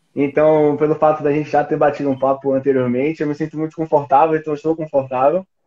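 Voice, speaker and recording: A man with a Bahian accent talks at a very fast pace in a monotone, flat delivery. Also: hardly any pauses. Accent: Bahian Brazilian Portuguese. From Bahia, Brazil. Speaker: podcaster. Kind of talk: interview answer. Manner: cheerful.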